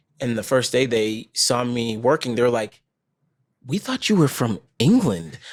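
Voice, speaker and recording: An ordinary speaking voice from a man, fairly slow in pace, with ordinary pitch variation. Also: medium pitch for a man, very clean recording, silent background. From Vermont, US (born Trinidad and Tobago). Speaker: actor and former marine. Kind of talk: podcast interview. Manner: casual, with fillers.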